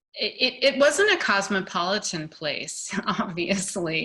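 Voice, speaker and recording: The speaker is a woman. Her pitch is medium. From US South (Little Rock, Arkansas). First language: German. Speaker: artist. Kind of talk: casual chat.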